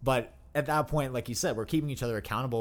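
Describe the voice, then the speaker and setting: A very fast pace marks this speech. The voice belongs to a man. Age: 20s. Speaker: pro fitness athlete. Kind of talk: casual chat. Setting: studio.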